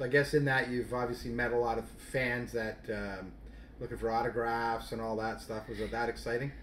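Speaking at a fairly quick pace, a man has a plain, everyday voice. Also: medium pitch for a man. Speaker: radio host of hockey show. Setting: radio studio. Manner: upbeat, polished, announcer-like.

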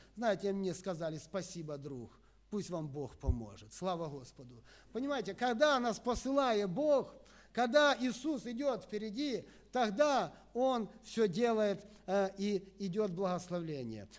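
This man's pitch swings very widely as he talks at a fairly slow pace. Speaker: preacher, evangelist. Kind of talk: sermon. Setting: church. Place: church. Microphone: podium.

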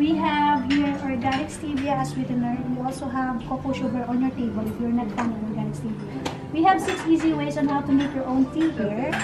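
Over loud background noise, a woman talks at a fairly quick pace with hardly any pauses. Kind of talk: explaining to guests. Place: cafe.

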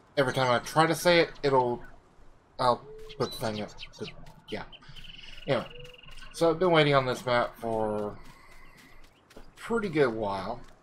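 Noticeable background noise behind a medium-pitched man with lively intonation, a moderate pace and long, frequent pauses. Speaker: gaming video creator. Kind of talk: let's play commentary. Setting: home recording with headset. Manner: rambling; halting.

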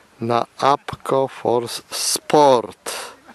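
The man's intonation is fairly even, in a dry sound with no echo. Noticeable background noise can be heard. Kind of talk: casual commentary. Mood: cheerful, joking. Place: open country. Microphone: phone near.

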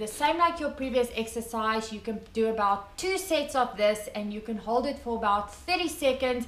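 A woman's voice at a moderate pace, amid light background noise and audible room echo. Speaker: weightlifting coach. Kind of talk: tutorial. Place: garage. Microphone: camera far.

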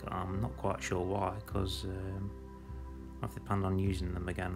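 Over clear background music, a man with a very deep, low pitch speaks at a moderate pace with ordinary pitch variation. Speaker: vlogger reviewing a restaurant. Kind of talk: casual vlog chat. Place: cafe. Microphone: phone near.

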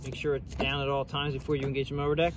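A man is heard in a dry sound with no echo and noticeable background noise. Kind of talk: tutorial. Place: street. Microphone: phone near.

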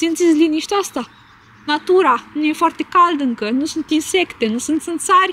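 Noticeable background noise sits behind a woman's extremely high voice. She speaks at a moderate pace with ordinary pitch variation. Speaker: vlogger. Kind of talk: casual vlog chat.

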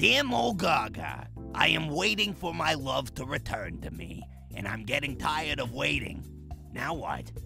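A man uses a cartoonish character voice at a moderate pace. Clear music plays in the background. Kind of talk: comedic advice hotline. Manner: chatty, gleeful.

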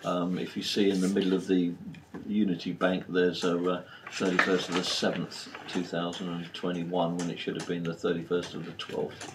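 A man's very deep, low voice in a flat monotone at a moderate pace, with noticeable background noise. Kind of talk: meeting chairing. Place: meeting room. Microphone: camera far.

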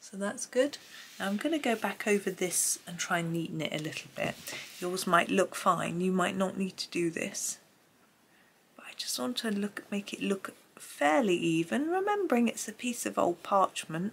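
This woman's voice sits at a medium pitch with lively intonation. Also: moderate pace, big swings in loudness. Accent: Gloucestershire. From England, Gloucestershire. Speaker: art tutorial youtuber. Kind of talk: tutorial. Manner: casual, chatty.

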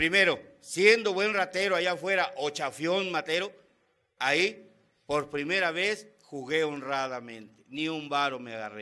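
Over a quiet background, a man with a bright, sharp, animated tone talks at a fairly slow pace, his intonation lively and his loudness swinging widely. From Mexico. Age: 50s. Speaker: Alcoholics Anonymous member. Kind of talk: testimony. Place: meeting room. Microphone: podium.

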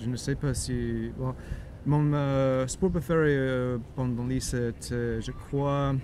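Over light background noise, a man talks at a very slow pace. The sound is dry with no echo, and his intonation is fairly even. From United States. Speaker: YouTuber. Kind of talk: casual chat. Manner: halting. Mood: relaxed, playful. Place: garden.

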